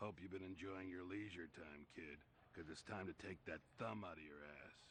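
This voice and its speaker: A raspy, put-on character voice at a moderate pace with fairly even intonation, over clear background noise. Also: man, very deep, low pitch for a man. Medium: video game. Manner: gruff, sarcastic.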